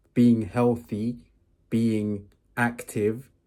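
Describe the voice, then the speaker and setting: In a very clean recording with a silent background, a man of medium pitch speaks with a dark, mellow tone and monotone, flat intonation. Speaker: self-improvement vlogger. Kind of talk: casual vlog monologue. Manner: slow; halting, filler words.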